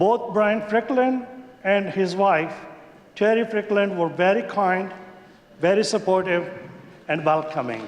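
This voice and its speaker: Over noticeable background noise, a man with a high-pitched voice speaks fairly slowly with lively intonation. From Pakistan, Khyber Pakhtunkhwa. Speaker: legislator. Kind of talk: maiden speech in legislature. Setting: legislative chamber. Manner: formal.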